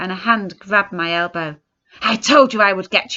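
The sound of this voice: Ordinary pitch variation in an unforced reading voice, with a quiet background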